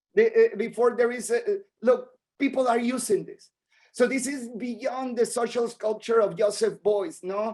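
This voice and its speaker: A man with a non-native accent speaks at a fairly slow pace in an extremely high pitch. His tone is dark and mellow, with big swings in loudness. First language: Spanish. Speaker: artist. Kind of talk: lecture. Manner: halting, repeats words.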